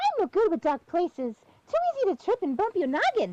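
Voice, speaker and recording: A woman's squeaky, put-on character voice, extremely high, with very wide pitch swings, big swings in loudness, a very fast pace and a dry, close sound with no echo. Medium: game stream.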